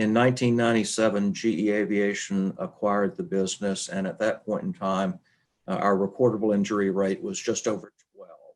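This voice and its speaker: Lively in intonation, a man with an Arkansas accent talks at a fairly quick pace in a fairly low pitch. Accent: Southern US (Arkansas). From Arkansas, US South. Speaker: human resources leader. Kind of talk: webinar presentation. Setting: webinar.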